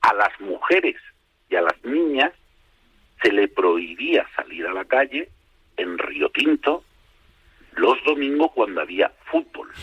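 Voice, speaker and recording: This man talks very slowly. His speech has long, frequent pauses. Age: 60s. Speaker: football historian. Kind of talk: radio interview. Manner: hesitant, many fillers.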